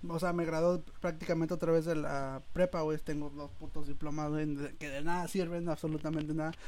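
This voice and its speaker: Monotone and flat in intonation, a man with a fairly high pitch speaks at a fairly quick pace. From Mexico, Guerrero. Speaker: podcast host. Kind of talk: casual chat.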